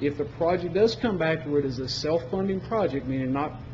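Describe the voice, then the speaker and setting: A man speaks at a fairly quick pace with a fairly high pitch. Noticeable background noise and audible room echo fill the recording. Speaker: energy services sales presenter. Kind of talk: presentation to county commission. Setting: public meeting. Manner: fast.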